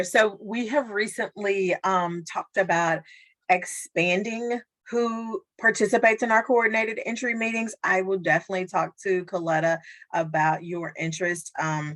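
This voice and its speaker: Against a quiet background, a woman with a plain, everyday voice speaks at a moderate pace and medium pitch with ordinary pitch variation. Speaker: social worker. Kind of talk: training presentation; Q&A discussion.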